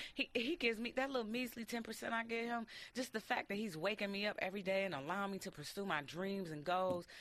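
A woman with an American accent at a very fast pace and medium pitch, with ordinary pitch variation and hardly any pauses. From Detroit. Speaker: radio host. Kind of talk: casual chat. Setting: studio.

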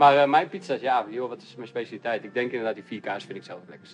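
A man talks very fast at a medium pitch. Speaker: pizza maker. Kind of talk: casual chat.

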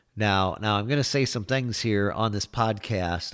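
A man's fairly low-pitched voice at a moderate pace, ordinary pitch variation, on a very clean recording with a silent background. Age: 50s. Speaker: political podcast host. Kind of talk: political rant monologue. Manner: animated.

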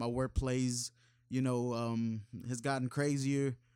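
A man with an American accent speaks at medium pitch and a fairly slow pace in a monotone, flat intonation, captured in a very clean recording with a silent background. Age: 20s. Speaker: rapper. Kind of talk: casual chat. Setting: studio.

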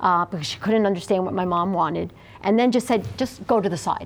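This woman has a normal speaking voice at a medium pitch. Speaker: interviewee sharing experience. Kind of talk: interview testimony.

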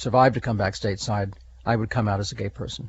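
Somewhat breathy, a man's fairly low voice keeps a fairly even intonation. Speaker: retired police officer. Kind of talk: interview recollection.

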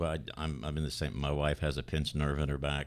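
Delivered at a moderate pace, the voice carries vocal fry and a monotone, flat intonation. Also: man. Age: 40s. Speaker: church drummer. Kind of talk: casual chat. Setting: studio.

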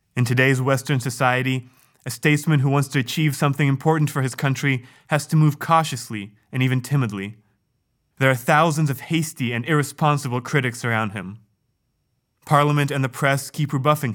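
A man with a normal speaking voice talks fairly quickly at a fairly high pitch, his intonation fairly even. The recording is very clean, with a silent background. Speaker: reader of a speech. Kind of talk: reading aloud a historic speech. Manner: formal, measured, solemn.

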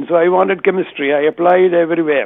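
A man with an Indian accent speaks with ordinary pitch variation. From southern India. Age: 80s+. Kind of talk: testimony. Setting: phone call.

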